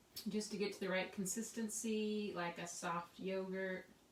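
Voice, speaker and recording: Quiet and mumbling, a woman of medium pitch speaks amid noticeable background noise and audible room echo. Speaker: craft tutorial host. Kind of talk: tutorial. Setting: home craft studio. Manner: casual, chatty.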